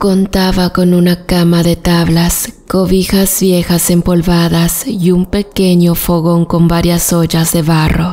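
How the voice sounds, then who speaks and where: With music in the background, a woman speaks very slowly at a fairly low pitch, in a monotone, flat intonation, a solemn tone and very even loudness. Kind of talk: story narration. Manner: measured, solemn storytelling pace with hushed suspense.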